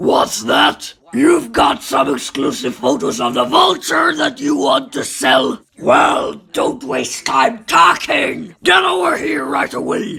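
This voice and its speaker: Shouting in a raspy, high-pitched put-on character voice, a man delivers his lines at a fairly slow pace. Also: hardly any pauses. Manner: brash, shouting.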